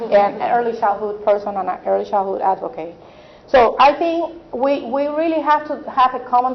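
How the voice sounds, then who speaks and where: Amid noticeable background noise, a woman with a fairly high pitch speaks with a non-native accent. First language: not English. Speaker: early childhood advocate. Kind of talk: panel discussion.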